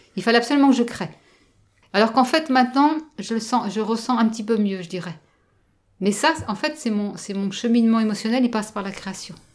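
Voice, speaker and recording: Somewhat breathy and fairly high in pitch, a woman speaks with ordinary pitch variation and long, frequent pauses. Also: fairly quick pace. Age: 50s. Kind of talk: interview. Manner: halting.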